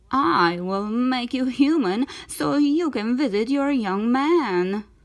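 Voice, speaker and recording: A woman uses a put-on character voice at a high pitch. She speaks at a fairly slow pace. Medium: read story. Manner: wheedling, menacing.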